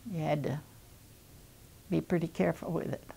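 Vocal fry in a very deep, low female voice, moderately paced, with ordinary pitch variation. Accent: American. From Missouri. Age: 80s+. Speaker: retired nurse and WWII cadet nurse. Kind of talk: interview answer. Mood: calm, reminiscing. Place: home room.

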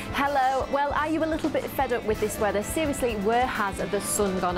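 A woman's high-pitched voice with lively intonation at a moderate pace, with clear music in the background. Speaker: TV presenter. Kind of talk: TV presenter link, casual and chatty. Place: studio. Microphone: lapel.

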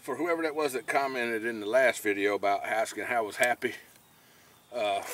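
Over light background noise, a man speaks at a moderate pace, the sound dry with no echo. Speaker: fishing vlogger. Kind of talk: casual vlog chat. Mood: relaxed, joking. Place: boat. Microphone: phone near.

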